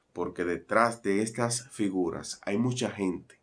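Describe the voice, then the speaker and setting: A man with a Dominican accent, fairly low in pitch, fairly even in intonation, at a very slow pace. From Dominican Republic. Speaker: broadcaster and commentator. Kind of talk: news commentary to camera. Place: home room.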